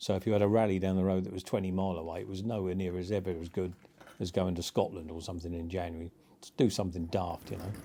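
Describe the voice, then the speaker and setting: Very fast and monotone, a man speaks in a very deep, low pitch with a dark, mellow tone and big swings in loudness. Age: 60s. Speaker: motorcycle rider. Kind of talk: interview storytelling. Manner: casual, hesitant with fillers.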